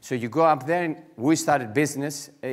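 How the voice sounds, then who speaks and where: Over a quiet background, a man with a Greek accent talks at a moderate pace with ordinary pitch variation. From Greece. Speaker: entrepreneur; conference speaker. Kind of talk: conference talk. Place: hall. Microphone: headset.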